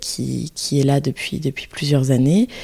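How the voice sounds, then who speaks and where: A woman's very deep, low voice, dark and mellow in tone, fairly even in intonation and fairly slow in pace. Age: 20s. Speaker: early childhood educator. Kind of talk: interview. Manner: halting.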